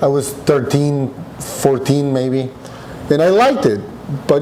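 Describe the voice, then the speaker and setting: A man with a medium-pitched voice talks at a fairly slow pace, with audible room echo and noticeable background noise. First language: Spanish. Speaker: restaurant owner. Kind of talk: podcast interview.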